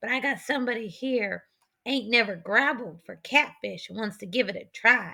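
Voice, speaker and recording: Using a raspy, put-on character voice, a woman speaks at a moderate pace with a fairly high pitch. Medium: read story. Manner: folksy backwoods drawl.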